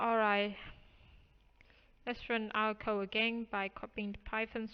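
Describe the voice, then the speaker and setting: A woman speaks with a non-native accent. Her fairly high pitch holds a monotone, flat intonation. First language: not English. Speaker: programming tutorial youtuber. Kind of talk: tutorial.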